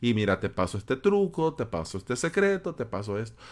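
A man's voice swings very widely in pitch at a moderate speed on a very clean recording with a silent background. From El Salvador, San Salvador. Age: 30s. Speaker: podcast host, web developer. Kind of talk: solo podcast monologue.

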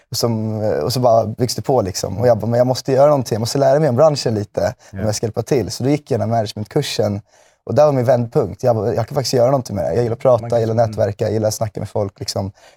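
Very fast and fairly even in intonation, a man's medium-pitched voice with a dark, mellow tone comes through a very clean recording with a silent background and a dry, close sound with no echo. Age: 20s. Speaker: music manager. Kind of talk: casual interview. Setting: studio.

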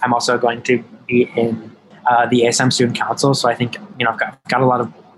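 Over noticeable background noise, a man with an American accent and a medium-pitched voice talks at a fairly quick pace. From Madison, Wisconsin. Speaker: city council member. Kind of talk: interview.

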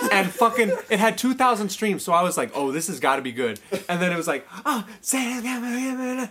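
Over noticeable background noise, a man with a high pitch uses a raised, projected voice and an animated tone with very wide pitch swings. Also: moderate pace. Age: young. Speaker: podcast guest. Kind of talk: casual chat.

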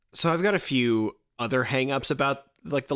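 The recording is very clean, with a silent background. A man talks in an ordinary speaking voice at a fairly high pitch, with ordinary pitch variation. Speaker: podcast co-host, Doctor Who expert. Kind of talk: casual chat, podcast banter.

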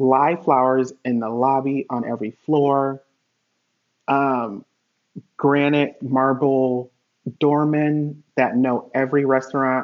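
Here a man with an American accent speaks at a medium pitch in a normal speaking voice. His pace is fairly slow and his intonation fairly even. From Connecticut, US. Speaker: hotel industry worker and life insurance agent. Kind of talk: casual interview chat. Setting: remote video call.

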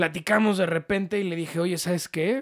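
A man speaks with a Mexican accent. His pitch is high. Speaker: podcast co-host. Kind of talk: casual chat.

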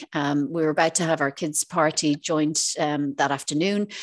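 A woman with an Irish accent, a fairly low pitch and a moderate pace. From Ireland. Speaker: financial advisor and property investor. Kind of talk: interview.

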